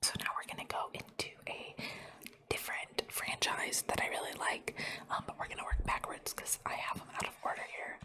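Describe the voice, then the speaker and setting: A woman whispers at a moderate pace, with noticeable background noise behind her. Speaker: ASMR creator. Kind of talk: ASMR rambling, showing items. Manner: whispered.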